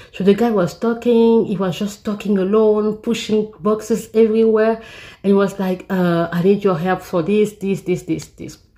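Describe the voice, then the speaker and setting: A woman with a non-native accent speaks at a medium pitch in a dark, mellow tone. Her pace is moderate and her intonation fairly even. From Africa. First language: not English. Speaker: vlogger. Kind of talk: story time. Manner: halting, many fillers and repeats.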